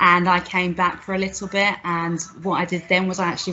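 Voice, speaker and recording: Her voice is fairly low for a woman and her pace fairly quick. Noticeable background noise runs underneath. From Scotland, Glasgow. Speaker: business leader. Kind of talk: personal talk.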